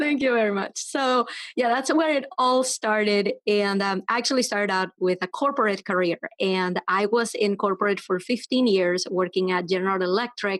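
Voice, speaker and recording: At a moderate pace and very even loudness, a woman with a Venezuelan accent speaks at a medium pitch with ordinary pitch variation, recorded dry and close with no echo. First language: Spanish. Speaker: web developer and entrepreneur. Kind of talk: podcast interview.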